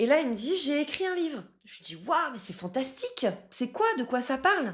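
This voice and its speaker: Her pitch swinging very widely, a woman talks at a moderate pace with a strong French accent. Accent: strong French accent (when speaking English). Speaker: love coach. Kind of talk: casual coaching talk to camera.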